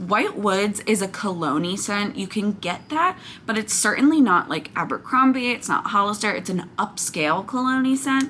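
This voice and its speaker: Loud and animated in tone, a woman talks with lively intonation and hardly any pauses. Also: medium pitch for a woman, moderate pace. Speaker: wax melt reviewer, YouTuber. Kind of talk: product haul review.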